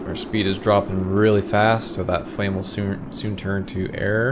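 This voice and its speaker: Amid noticeable background noise and audible room echo, a man talks slowly at a fairly low pitch with fairly even intonation. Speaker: gaming youtuber. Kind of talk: gameplay tutorial commentary. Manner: monotone.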